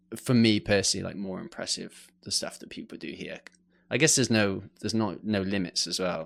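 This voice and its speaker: A man with an English accent and ordinary pitch variation, on a very clean recording with a silent background. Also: fairly low pitch for a man, fairly quick pace, big swings in loudness. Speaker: mountain bike photographer. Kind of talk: podcast interview. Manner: hesitant, many fillers.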